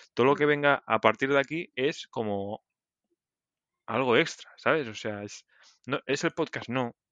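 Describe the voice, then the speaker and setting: A fairly slow-paced man's voice, an unremarkable speaking voice with ordinary pitch variation. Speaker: podcast co-host, programmer. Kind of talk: casual chat.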